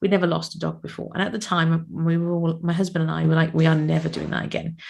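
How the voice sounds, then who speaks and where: Somewhat breathy and fairly low in pitch, a woman with a British accent talks at a fairly quick pace. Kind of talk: casual podcast storytelling.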